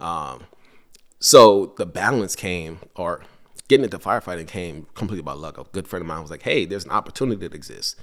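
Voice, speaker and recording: A man with a very deep, low voice and an American accent, talking at a fairly quick pace with big swings in loudness and ordinary pitch variation, on a very clean recording with a silent background. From Guyana, then Brooklyn, New York. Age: 30s. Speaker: fire lieutenant. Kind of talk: casual chat. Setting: at a kitchen table.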